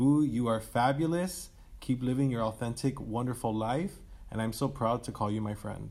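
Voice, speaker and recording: A man speaks at a moderate pace with an American accent. His medium pitch has ordinary variation in a plain, everyday voice. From Miami, Florida. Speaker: health educator. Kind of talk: interview.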